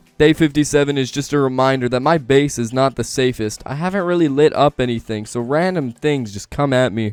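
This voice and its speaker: A man speaks at a fairly quick pace with hardly any pauses, his pitch in the middle range with ordinary variation. The sound is dry and close, with no echo. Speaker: gaming YouTuber. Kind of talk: narrated gameplay commentary. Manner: loud; casual, animated.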